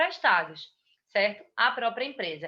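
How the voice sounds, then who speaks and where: A woman speaks with ordinary pitch variation. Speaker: tax instructor. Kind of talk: lecture.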